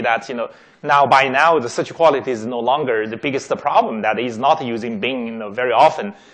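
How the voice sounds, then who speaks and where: Pitched at a medium level, the man talks with ordinary pitch variation. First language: not English. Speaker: tech executive giving a talk. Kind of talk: lecture. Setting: auditorium with audience. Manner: many fillers and repetitions.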